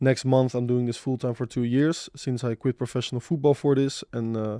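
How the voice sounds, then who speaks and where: Against a quiet background, a man with a Dutch accent speaks at a moderate pace in a medium pitch, his dark, mellow tone carrying monotone, flat intonation in a dry, close sound with no echo. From Netherlands, Amsterdam. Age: 20s. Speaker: crypto trader. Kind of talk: podcast roundtable.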